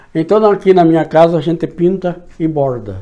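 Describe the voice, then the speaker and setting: Fairly slow and dark, mellow in tone, a man's voice sits at a fairly high pitch. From Brazil, São Paulo state interior (São Miguel Arcanjo). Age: 60s. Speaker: local historian and writer. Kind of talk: interview reminiscence. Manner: halting, with many restarts.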